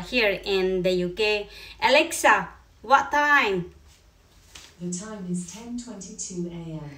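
A woman with a Filipino accent and a bright, sharp tone. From Philippines. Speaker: YouTuber. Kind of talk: casual vlog. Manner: halting. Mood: warm, friendly. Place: home room. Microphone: phone near.

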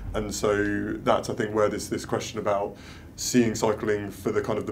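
With light background noise behind him, a man speaks at a fairly low pitch in a monotone, flat delivery. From London. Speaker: cycling events officer; guest. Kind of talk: panel Q&A. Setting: live video stream. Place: meeting room.

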